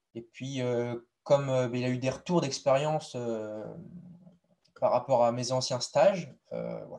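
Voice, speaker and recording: Very slow and medium in pitch, this man's voice has a dark, mellow tone. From western France, Deux-Sèvres. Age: 20s. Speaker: apprentice livestock farmer. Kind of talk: interview. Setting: live stream.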